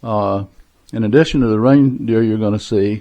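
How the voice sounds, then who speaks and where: A man's fairly low voice with a dark, mellow tone, ordinary pitch variation and a moderate pace. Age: 80s+. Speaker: retired crafter raising money for charity. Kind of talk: casual interview. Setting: home basement. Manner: hesitant, many filler uhs.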